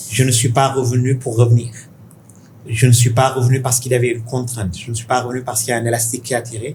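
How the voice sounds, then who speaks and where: A man with a Senegalese accent at a very fast pace, in a monotone, flat intonation. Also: medium pitch for a man. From Senegal (Dakar). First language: Pulaar (speaking French). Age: 50s. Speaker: tech investor. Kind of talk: interview conversation. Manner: halting.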